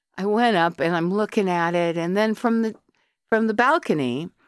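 An American accent on a woman's unremarkable speaking voice, medium in pitch, with lively intonation at a moderate pace, in a very clean, dry, close recording with a silent background and no echo. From US, Colorado. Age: 60s. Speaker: artist and academic. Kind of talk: casual interview.

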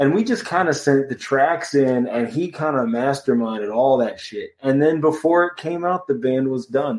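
Speaking at a moderate pace with hardly any pauses, a man uses a normal speaking voice, fairly high in pitch with ordinary pitch variation. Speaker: punk musician. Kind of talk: casual interview.

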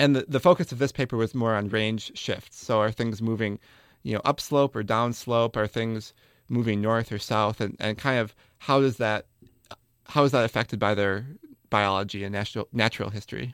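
An unremarkable speaking voice: a man with an American accent, medium in pitch, talking at a moderate pace with fairly even intonation. The recording is very clean with a silent background and a dry, close sound with no echo. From US Midwest, Wisconsin. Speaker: graduate student botanist. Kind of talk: interview.

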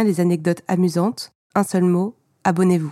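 Dry and close with no echo on a very clean, silent-background recording, a woman speaks at a moderate pace with a fairly low pitch and a dark, mellow tone. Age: 30s. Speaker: author and school librarian. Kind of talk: podcast trailer, subscription pitch.

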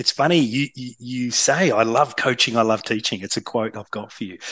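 With a normal speaking voice, a man holds a moderate pace. The pitch shifts with ordinary variation. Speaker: podcast host. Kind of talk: interview.

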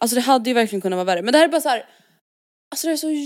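A woman speaks with a high pitch and very wide pitch swings. The sound is dry and close, with no echo. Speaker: podcast co-host. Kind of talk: casual chat.

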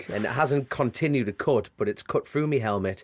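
A man with a strong Geordie accent speaks at a moderate pace in a medium pitch with lively intonation, the sound dry and close with no echo on a very clean recording against a silent background. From northern England, Newcastle area. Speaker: motorcycle road racer. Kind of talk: casual interview chat.

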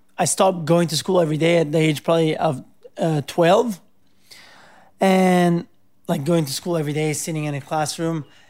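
A man with an Italian accent, high pitch and a moderate pace. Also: long, frequent pauses. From Italy (Rome). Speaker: pro surfer. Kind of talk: interview. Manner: casual, many filler words.

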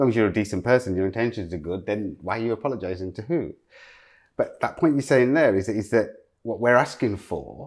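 With an East Midlands accent, a man speaks at a fairly quick pace in a fairly low pitch with ordinary pitch variation, on a very clean recording with a silent background. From East Midlands, England (Loughborough). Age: 40s. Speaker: fashion designer. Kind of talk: casual interview conversation. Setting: at home in his apartment.

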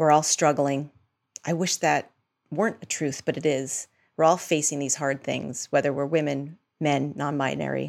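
Speaking with an American accent at a moderate pace, a woman uses a very deep, low pitch with vocal fry and monotone, flat intonation on a very clean recording with a silent background. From Massachusetts. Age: 40s. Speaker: journalist and editor. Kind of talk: interview conversation.

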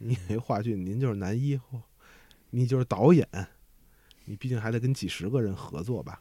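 A dark, mellow tone at a moderate pace, with ordinary pitch variation and long, frequent pauses. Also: man, medium pitch for a man. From Beijing-Tianjin region. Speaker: crosstalk performer. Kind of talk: casual chat.

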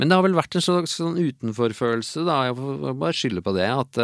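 In a very clean recording with a silent background and a dry, close sound with no echo, a normal speaking voice moves at a moderate pace with lively intonation. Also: man. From Oslo, Norway (Tåsen). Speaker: illustrator and cartoonist. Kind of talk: casual interview chat.

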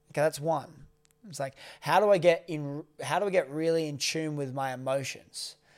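In a very clean recording with a silent background, a man with a plain, everyday voice talks at a moderate pace, with a fairly high pitch and ordinary pitch variation. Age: 20s. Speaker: podcast co-host. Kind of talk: casual chat.

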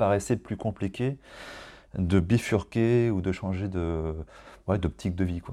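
A man with a very deep, low pitch and a dark, mellow tone speaks at a moderate pace with ordinary pitch variation. The recording is very clean, with a silent background. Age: 40s. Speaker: general practitioner. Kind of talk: interview.

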